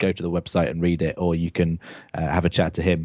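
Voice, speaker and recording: A man with a British accent talks at a very fast pace in a dark, mellow tone. The background is quiet. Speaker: tech podcast co-host. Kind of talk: casual podcast chat. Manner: many fillers (um, uh).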